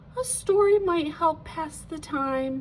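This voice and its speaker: A woman puts on a squeaky character voice at an extremely high pitch, soft-spoken and fairly slow. Background noise is clearly present. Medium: read story. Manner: dreamy, soft.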